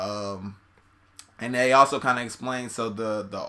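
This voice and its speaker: In a very clean recording with a silent background, a man speaks at a medium pitch with a bright, sharp tone and fairly even intonation. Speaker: YouTube reaction channel host. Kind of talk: casual video commentary. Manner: fast.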